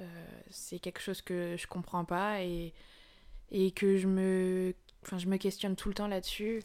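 In a very clean recording with a silent background, the speech runs fairly slowly in a flat monotone, with long, frequent pauses. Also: woman, medium pitch for a woman. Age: 20s. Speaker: guest sharing personal story of perinatal loss. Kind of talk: testimony. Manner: halting.

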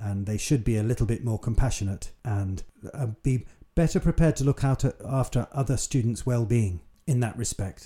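A somewhat breathy, dark, mellow voice with a British accent, at a moderate pace with ordinary pitch variation, in a very clean recording with a silent background. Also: man, medium pitch for a man. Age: 60s. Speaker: mature university student and podcaster. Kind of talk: solo monologue podcast.

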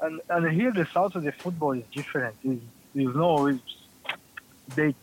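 Speaking with a Brazilian accent, a man uses a fairly high pitch with ordinary pitch variation. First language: Portuguese. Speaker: professional footballer. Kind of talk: interview.

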